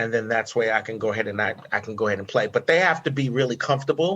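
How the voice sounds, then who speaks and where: Rattling along at a very fast pace, a man with an American accent speaks in a medium pitch with ordinary pitch variation. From New York. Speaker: voice over acting director and coach. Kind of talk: podcast interview. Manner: animated.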